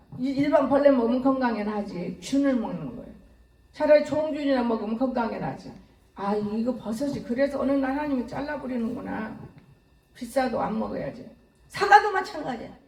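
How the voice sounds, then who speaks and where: A woman with a high voice talks fairly fast in an animated tone, her loudness swinging widely. Audible room echo and noticeable background noise surround her. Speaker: pastor. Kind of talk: sermon.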